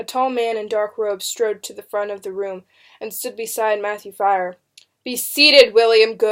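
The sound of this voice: There is an unforced reading voice with ordinary pitch variation over a quiet background.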